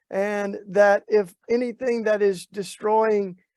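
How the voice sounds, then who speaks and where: A man speaks with a Southern US accent at a high pitch. His intonation stays monotone and flat. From US South, Tennessee. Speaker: activist and author. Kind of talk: talk to an online faith gathering. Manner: halting, many fillers.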